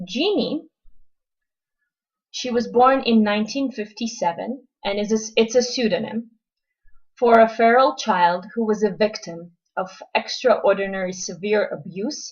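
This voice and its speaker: A woman's fairly high, somewhat breathy voice at a moderate pace, with ordinary pitch variation and long, frequent pauses. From Israel. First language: Russian. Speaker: lecturer. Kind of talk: lecture. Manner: hesitant, frequent ums.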